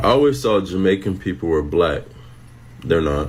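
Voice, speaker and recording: A man is heard over noticeable background noise. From US. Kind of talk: opinion monologue.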